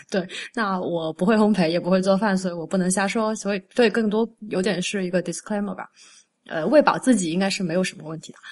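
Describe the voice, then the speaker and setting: Against a quiet background, a woman talks at a very fast pace with big swings in loudness. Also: medium pitch for a woman, ordinary pitch variation. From Guangdong, southern China. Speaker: food writer and author. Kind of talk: casual interview chat.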